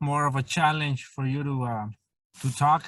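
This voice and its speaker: A man at a moderate pace with a fairly high pitch. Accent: Spanish. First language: Spanish. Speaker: interviewer. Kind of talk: interview.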